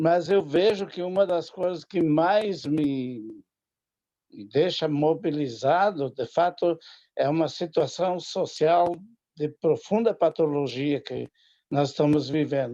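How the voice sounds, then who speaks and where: A man's fairly high, dark, mellow voice at a very slow pace, with ordinary pitch variation. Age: 70s. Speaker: audience member asking a question. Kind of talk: audience question. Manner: halting.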